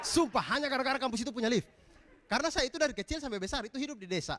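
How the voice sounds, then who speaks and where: Speaking in an eastern Indonesian accent, a man uses an extremely high pitch, an animated tone and lively intonation. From eastern Indonesia, East Nusa Tenggara. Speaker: comedian. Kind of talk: stand-up. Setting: stage with audience.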